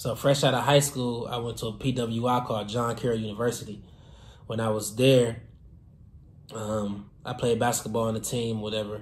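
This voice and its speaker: A man speaks at a moderate pace in a medium-pitched, somewhat breathy voice with flat, monotone intonation and audible room echo. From Detroit, Michigan. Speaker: fashion designer and entrepreneur. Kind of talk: casual vlog storytelling. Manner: casual, many filler words.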